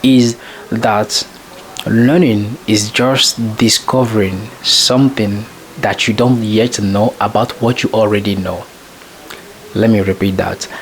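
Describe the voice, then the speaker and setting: A man with a French accent speaks very slowly at a medium pitch, with fairly even intonation and long, frequent pauses, amid noticeable background noise. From French-speaking country. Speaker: self-improvement vlogger. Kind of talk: casual monologue. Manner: halting, with many fillers.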